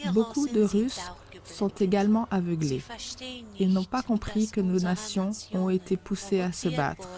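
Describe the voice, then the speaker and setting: Over noticeable background noise, a woman of medium pitch talks at a fairly slow pace with long, frequent pauses and ordinary pitch variation. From Russia. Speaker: private citizen making a video appeal. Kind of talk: political appeal to camera.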